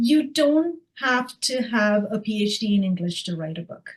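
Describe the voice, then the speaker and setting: A woman speaks at a fairly slow pace, fairly high in pitch and somewhat breathy. Her intonation is lively. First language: not English. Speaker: author. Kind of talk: casual chat.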